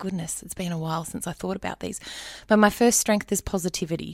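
A woman with an Australian accent speaks with fairly even intonation in a very clean recording with a silent background. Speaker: radio presenter. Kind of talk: interview.

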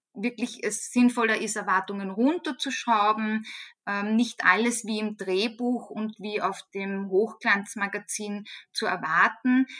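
The speaker's tone is bright and sharp, the intonation fairly even, and the pace very slow. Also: woman. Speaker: head of a university social work department. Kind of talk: interview.

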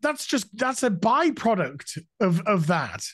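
Speaking at a fairly slow pace against a quiet background, a man with a Yorkshire accent uses a high pitch, very wide pitch swings, and an animated tone. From Yorkshire, northern England. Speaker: YouTuber. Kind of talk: casual chat.

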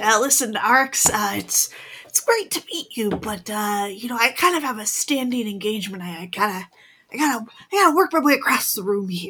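In a put-on character voice, a female-sounding speaker talks at a moderate pace with a fairly high pitch. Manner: nervous, prim and formal.

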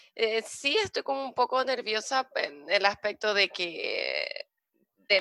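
Speaking at a very slow pace, a woman with a Chilean accent is heard in a dry, close sound with no echo. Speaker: working holiday traveler. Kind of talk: casual interview. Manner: halting, repeats words.

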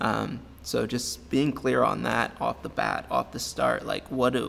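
A man talks with music playing in the background. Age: 30s. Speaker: podcast co-host and personal trainer. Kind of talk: casual chat.

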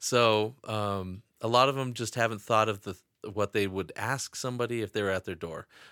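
Dry and close with no echo, a bright, sharp tone comes at a moderate pace on a very clean recording with a silent background. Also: man, fairly low pitch for a man. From Wyoming. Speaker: city council candidate. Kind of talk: casual interview.

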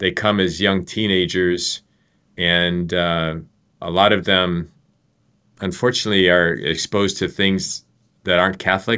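In an American accent, a man with a very deep, low voice speaks at a moderate pace with fairly even intonation. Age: 50s. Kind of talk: casual interview.

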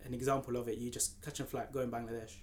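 A man talks fast at a medium pitch. His pitch moves very little.

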